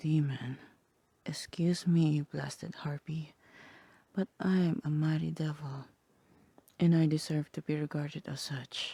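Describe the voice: A woman's cartoonish character voice, low and dark, mellow in tone, with vocal fry, a slightly husky edge, fairly even intonation, and long, frequent pauses. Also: fairly slow pace.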